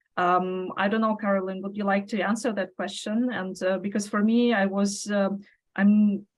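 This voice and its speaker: A woman with a non-native accent, somewhat breathy, monotone and flat in intonation, at a moderate pace. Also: medium pitch for a woman. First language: not English. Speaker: webinar moderator. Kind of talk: moderated panel Q&A. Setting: online webinar. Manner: halting, many fillers.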